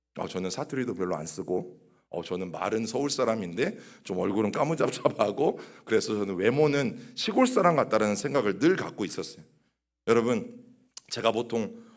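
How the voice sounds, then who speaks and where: Audible room echo colors a man's medium-pitched voice. He talks at a moderate pace with lively intonation. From Chungcheong region, Korea. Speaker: pastor. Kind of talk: sermon. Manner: conversational, addresses congregation directly.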